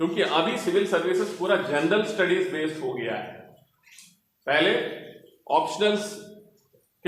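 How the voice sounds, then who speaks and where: Amid audible room echo, a man with a high pitch and a Telangana accent speaks with long, frequent pauses. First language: Telugu (speaking Hindi). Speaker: senior civil servant. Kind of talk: motivational talk to students. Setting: library hall with student audience.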